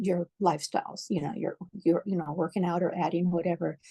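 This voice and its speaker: A woman speaks at a moderate pace in a fairly low, somewhat breathy voice with a dark, mellow tone, recorded dry and close with no echo against a quiet background. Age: 60s. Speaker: fitness program member, medical worker. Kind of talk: interview testimonial.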